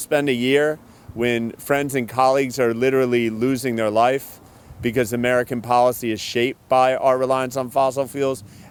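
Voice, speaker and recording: A normal speaking voice from a man at a medium pitch and a moderate pace. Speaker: county executive, politician. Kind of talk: public speech at signing event.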